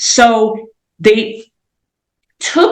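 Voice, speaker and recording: Lively intonation runs through this speech. There is a somewhat breathy quality to the voice. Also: woman. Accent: American. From US Midwest, Indiana. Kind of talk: interview. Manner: casual, conversational.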